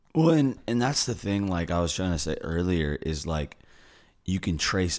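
A man with a very deep, low voice is heard on a very clean recording with a silent background. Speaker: fitness podcast co-host. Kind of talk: casual chat.

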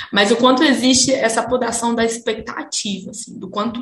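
Noticeable background noise sits behind a woman speaking at a fairly high pitch with fairly even intonation. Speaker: astrologer, podcast co-host. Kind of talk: casual chat.

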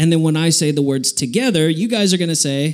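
An animated man with an American accent, amid audible room echo. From Texas. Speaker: youth preacher. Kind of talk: sermon.

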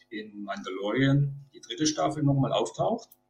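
This is a normal speaking voice. A man talks at a moderate pace with a fairly high pitch. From Baden-Württemberg. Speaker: Star Wars cosplayer. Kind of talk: casual chat.

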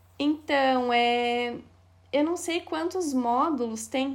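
With a Paraná accent, a woman speaks at a high pitch. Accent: Paraná interior. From Paraná, Brazil (Castro, interior). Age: 20s. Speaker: thrift store owner. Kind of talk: casual interview chat.

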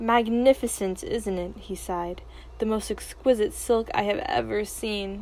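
An unforced reading voice with ordinary pitch variation

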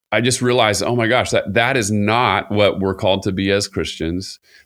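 A man speaks in a plain, everyday voice at a moderate pace with fairly even intonation. The recording is very clean, with a silent background. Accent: American. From Southern California, Costa Mesa. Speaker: worship pastor. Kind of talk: casual conversation.

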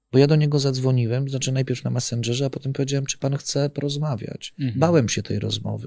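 Rushing at a very fast pace with hardly any pauses, a man talks at a medium pitch in a dark, mellow, somewhat breathy tone with fairly even intonation. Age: 50s. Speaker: whistleblower, former corporate security manager. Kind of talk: interview.

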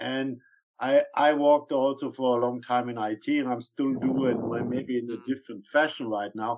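The speaker, with a non-native accent, talks at a moderate pace in a monotone, flat intonation. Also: man, medium pitch for a man. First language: not English. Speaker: podcast co-host. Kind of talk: casual interview.

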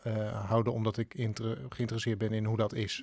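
A man with an ordinary speaking voice and medium pitch talks at a moderate pace over a very clean recording with a silent background. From Netherlands, northern Drenthe. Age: 30s. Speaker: theatre actor and improv teacher. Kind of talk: casual chat.

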